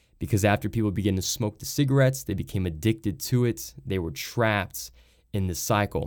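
With lively intonation and a fairly low pitch, a man talks at a fairly quick pace in a very clean recording with a silent background. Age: 20s. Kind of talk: devotional talk.

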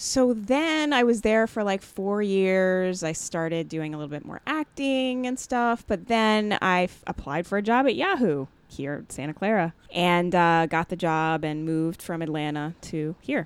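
At a fairly slow pace, a woman with a General American accent speaks at medium pitch with very wide pitch swings, in a very clean recording with a silent background. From Jamaica born, raised Maryland near Washington DC. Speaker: comedian and actor. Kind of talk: casual interview chat.

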